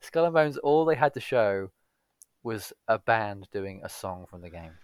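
Lively intonation marks this man's speech. The sound is dry and close, with no echo. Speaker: podcast co-host. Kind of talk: casual chat. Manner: weary, low-energy.

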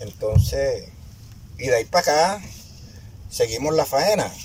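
A man speaks with a Colombian Caribbean accent. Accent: Colombian Caribbean coastal Spanish. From La Boquilla, Cartagena, Caribbean coast of Colombia. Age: 60s. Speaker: community founder and leader. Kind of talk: testimony. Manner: animated.

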